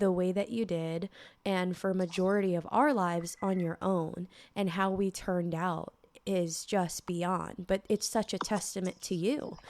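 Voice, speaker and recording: At a fairly slow pace, a woman talks in an unremarkable speaking voice of medium pitch with fairly even intonation. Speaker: podcast host. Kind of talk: podcast interview, casual talk.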